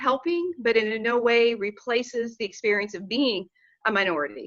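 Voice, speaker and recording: With an American accent, a woman talks at a moderate pace in an unremarkable speaking voice. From Oklahoma, US. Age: 60s. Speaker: panelist on a nonprofit discussion. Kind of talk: panel discussion.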